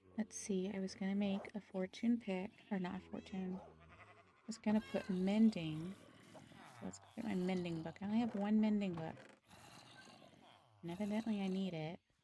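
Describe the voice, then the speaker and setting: Soft-spoken, a woman talks at a moderate pace with a medium pitch and fairly even intonation, her loudness swinging widely. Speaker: gaming streamer. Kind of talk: live game stream chat. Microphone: too quiet, moved closer to mouth.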